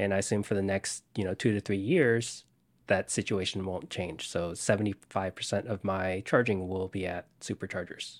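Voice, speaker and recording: With a plain, everyday voice, a man speaks at a fairly low pitch with fairly even intonation, the sound dry and close with no echo. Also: moderate pace, very clean recording, silent background. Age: 20s. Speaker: software developer and electric car owner. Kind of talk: interview.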